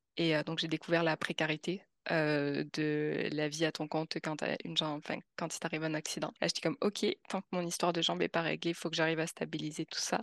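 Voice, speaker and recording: A woman's very deep, low voice with vocal fry, flat monotone delivery and a fairly quick pace, dry and close with no echo over a quiet background. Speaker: expat, continuous improvement specialist. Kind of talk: interview.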